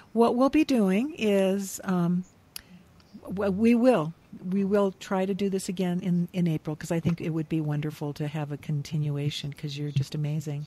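Speaking at a moderate pace, a woman has a fairly low pitch and a dark, mellow, somewhat breathy tone. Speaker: podcast host. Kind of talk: interview conversation. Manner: enthusiastic.

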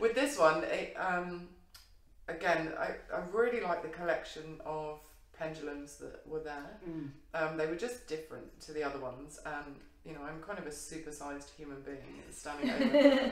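Moderate pace with audible room echo around the voice. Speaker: show co-host. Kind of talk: casual conversation. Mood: light, laughing. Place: home room. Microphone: camera far.

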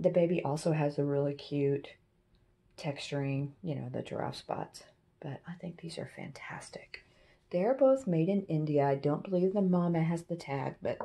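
At a moderate pace, a woman with a dark, mellow tone and fairly low pitch speaks with ordinary pitch variation and big swings in loudness. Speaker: antiques reseller. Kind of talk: casual haul video chat. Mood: enthusiastic, cheerful. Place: home room. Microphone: phone near.

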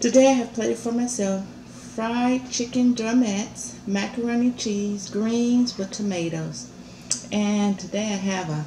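Speech comes at a fairly slow pace with ordinary pitch variation. Audible room echo and light background noise fill the recording. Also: woman. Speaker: food vlogger. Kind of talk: casual mukbang vlog chat. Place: home room. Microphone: camera far.

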